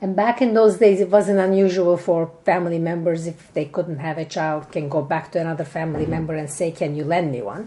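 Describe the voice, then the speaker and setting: Her pitch fairly low and varying in an ordinary way, a woman talks at a fairly quick pace with hardly any pauses over noticeable background noise. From Turkey, Istanbul. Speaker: author. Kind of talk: interview.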